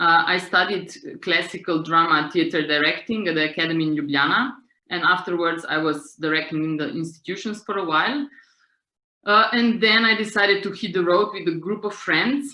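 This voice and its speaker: A woman with a Slovenian accent speaks at a medium pitch. Her pace is fairly quick and her intonation lively. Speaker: street theatre director and author. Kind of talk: seminar talk. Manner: halting.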